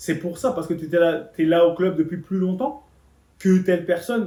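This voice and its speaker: High-pitched for a man, the voice has a dark, mellow tone. He talks at a fairly quick pace. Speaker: motivational speaker on leadership. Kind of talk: motivational talk. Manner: animated.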